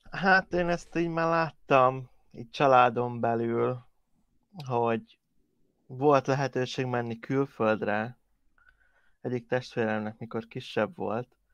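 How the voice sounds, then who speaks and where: Pausing long and often, a man speaks at a very slow pace with a medium pitch and ordinary pitch variation. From Hungary. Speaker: podcast co-host. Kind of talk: casual chat.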